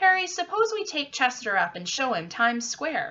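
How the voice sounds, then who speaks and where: A woman's squeaky put-on character voice, very wide pitch swings, moderate pace. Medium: read story. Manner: casual, slangy.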